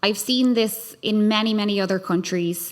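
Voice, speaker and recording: In a very clean recording with a silent background, a woman with an Irish accent speaks at a moderate pace and medium pitch, with ordinary pitch variation. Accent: Irish accent, noticeable. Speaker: human rights lawyer and scholar, panelist. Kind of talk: panel discussion. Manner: hesitant, many fillers.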